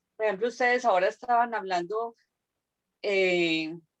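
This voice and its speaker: A woman speaks with ordinary pitch variation. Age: 60s. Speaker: student. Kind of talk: class discussion. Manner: halting.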